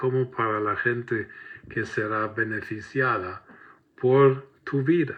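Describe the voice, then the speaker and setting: Speaking very slowly with a German accent, a man talks at a medium pitch. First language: German (speaking Spanish). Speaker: preacher. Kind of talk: sermon.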